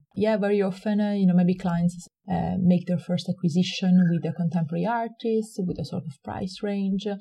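A woman speaks in an Italian accent at a medium pitch, her tone dark, mellow and somewhat breathy. Her intonation is fairly even. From Italy. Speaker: gallery director. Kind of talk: interview. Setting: at home. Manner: fast talker; cheerful, smiling.

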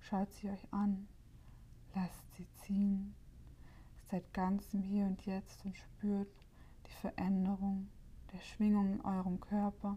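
A very slow, somewhat breathy delivery with a dark, mellow tone, monotone, flat intonation, long, frequent pauses and big swings in loudness. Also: woman. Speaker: meditation guide and podcast host. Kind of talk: guided meditation. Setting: solo home recording, no guest. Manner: calm, slow and soothing, with long pauses between instructions; gentle, warm and inviting.

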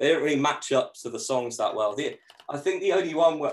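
This is a man speaking. He has an English accent. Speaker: musician. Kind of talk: casual chat. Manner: sarcastic tone.

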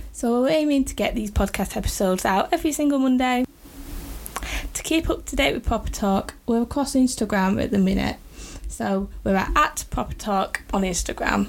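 With a northern English accent, a woman speaks at a fairly high pitch using lively intonation. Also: moderate pace. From northern England. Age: 20s. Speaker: podcast host, freelance designer. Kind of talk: podcast trailer monologue. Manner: unpolished, pauses and repeats.

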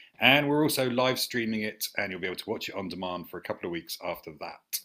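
A man speaks with a southern English accent and a fairly low pitch. His tone is bright and sharp, and his intonation is lively. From St Albans, southern England. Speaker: theatre director and podcast host. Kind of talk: casual interview. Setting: video call.

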